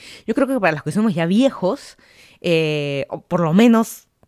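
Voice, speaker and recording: A woman speaks with a Peruvian accent in a dry, close recording with no echo, very clean and over a silent background. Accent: Peruvian Spanish (Lima). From Lima, Peru. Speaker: podcaster. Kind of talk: casual solo monologue.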